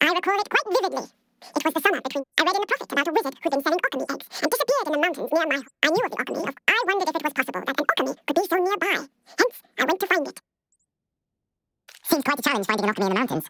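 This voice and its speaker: A put-on character voice, squeaky and extremely high in pitch, rattles along at a very fast pace. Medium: video game. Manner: measured, formal.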